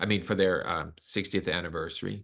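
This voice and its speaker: A man talks in an American accent with a bright, sharp tone. The background is quiet. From US South, Arkansas. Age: 60s. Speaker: concert pianist and host. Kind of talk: webinar presentation.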